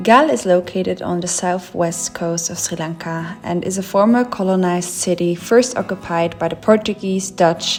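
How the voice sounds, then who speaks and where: A woman talks at a moderate pace with hardly any pauses, her pitch fairly low. Noticeable background noise sits behind her. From Switzerland. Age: 20s. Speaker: travel vlogger. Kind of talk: travel vlog; scripted narration.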